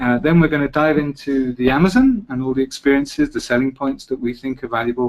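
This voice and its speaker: A man with a British accent talks at a fairly quick pace in a medium pitch. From Britain. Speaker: travel presenter. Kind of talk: webinar presentation. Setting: online webinar.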